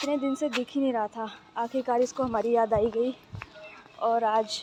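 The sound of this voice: A woman's fairly high, slightly mellow voice at a moderate pace, with fairly even intonation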